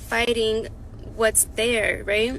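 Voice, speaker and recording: A woman's fairly high-pitched voice, monotone and flat, at a very slow pace. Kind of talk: encouraging devotional talk.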